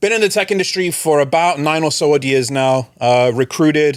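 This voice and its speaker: Over a silent background in a very clean recording, a man talks at a moderate pace with ordinary pitch variation. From England, London. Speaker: recruitment expert. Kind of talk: podcast interview, casual chat.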